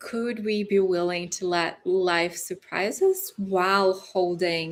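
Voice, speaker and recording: A fairly low-pitched woman with a Brazilian accent. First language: Portuguese. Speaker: relationship coach. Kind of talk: live stream talk. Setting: livestream.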